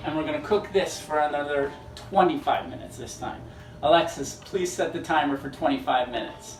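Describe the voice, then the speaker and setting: A man with a fairly high pitch speaks with lively intonation and big swings in loudness. Noticeable background noise and audible room echo surround him. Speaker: theatre marketing staff hosting cooking segment. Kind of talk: cooking tutorial with promotional plugs. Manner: fast.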